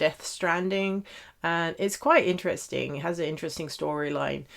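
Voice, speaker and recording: A woman with a British accent speaks at a moderate pace with a very deep, low pitch and fairly even intonation, on a very clean recording with a silent background. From Netherlands / Britain (half British, half Dutch). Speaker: knitting podcaster. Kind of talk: casual chat. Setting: home office. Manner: hesitant, many fillers.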